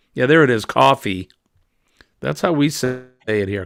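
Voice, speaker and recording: The recording is dry and close, with no echo. A man speaks at a moderate pace, his intonation lively. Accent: Boston. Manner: friendly, greeting a stream.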